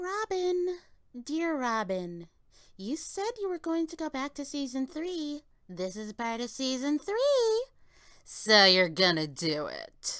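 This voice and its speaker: A put-on character voice, high-pitched with very wide pitch swings and a fairly slow pace, on a very clean recording with a silent background. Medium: comedy sketch. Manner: sweetly insistent.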